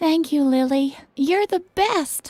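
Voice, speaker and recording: Someone uses a squeaky, put-on character voice with ordinary pitch variation. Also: woman. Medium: video game.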